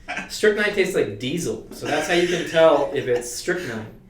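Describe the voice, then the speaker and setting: Over noticeable background noise and audible room echo, a man talks at a moderate pace with a high pitch and lively intonation. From East Coast Canada. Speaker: dating coach and show host. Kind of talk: live stream casual chat. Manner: animated.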